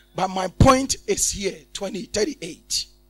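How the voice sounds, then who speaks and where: Music in the background behind a high-pitched man with an animated tone and lively intonation. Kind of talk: sermon with call-and-response, leading the congregation in scripture reading. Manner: animated, exhorting, repeatedly prompting the crowd to shout amen; repetitive, emphatic, rhetorical questions.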